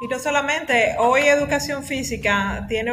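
This is a woman speaking. Audible room echo surrounds her voice. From Dominican Republic, La Vega. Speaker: physical education teacher. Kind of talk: casual discussion podcast.

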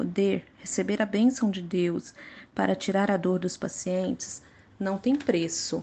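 A woman's somewhat breathy, medium-pitched voice at a very slow pace. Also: ordinary pitch variation. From Brazil, Minas Gerais (Contagem). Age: 30s. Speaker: dentist. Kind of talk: prepared personal statement.

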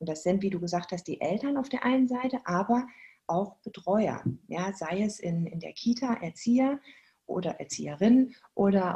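With a dark, mellow tone that is somewhat breathy, a woman of medium pitch speaks at a moderate pace with lively intonation. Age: 40s. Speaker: movement educator for children. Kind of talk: interview.

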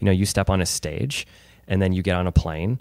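A man with a fairly low pitch talks at a fairly quick pace in a normal speaking voice. The recording is very clean, with a silent background. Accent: American. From Chesterfield, Missouri, US Midwest. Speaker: podcast host. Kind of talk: interview.

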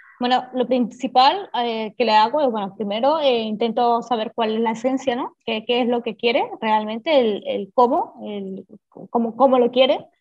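This woman's voice is high in pitch. She keeps a moderate pace, and her pitch moves in an ordinary way. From Venezuela. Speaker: illustrator and graphic designer. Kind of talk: interview. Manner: halting.

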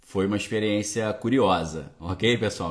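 With a Brazilian accent, a man speaks at a fairly low pitch and ordinary pitch variation. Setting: home with bookshelves, recording to camera.

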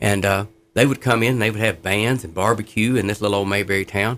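A man speaks in an unremarkable speaking voice on a very clean recording with a silent background. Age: 60s. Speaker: former inmate turned prison ministry worker. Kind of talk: testimony.

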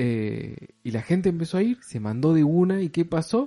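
A man's dark, mellow tone at a fairly slow pace. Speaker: podcast co-host. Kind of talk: casual chat.

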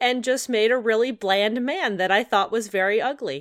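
In a very clean recording with a silent background and a dry, close sound with no echo, a woman has an unremarkable speaking voice, fairly high in pitch with ordinary pitch variation. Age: 30s. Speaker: video game podcast co-host. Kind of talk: casual chat.

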